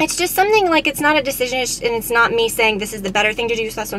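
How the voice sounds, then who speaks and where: A woman is heard over light background noise. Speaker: beauty vlogger. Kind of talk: casual vlog chat. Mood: reflective, candid. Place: car. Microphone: phone near.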